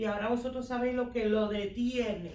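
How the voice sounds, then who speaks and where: Noticeable background noise and audible room echo surround a woman's voice. She speaks at a moderate pace with a fairly high pitch and fairly even intonation. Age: 60s. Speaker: church member. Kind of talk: Bible study discussion.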